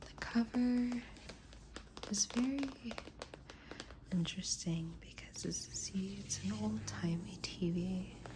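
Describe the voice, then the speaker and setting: A soft-spoken woman at a very slow pace with long, frequent pauses, against noticeable background noise. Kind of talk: ASMR show and tell, soft-spoken. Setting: indoors, close-mic ASMR.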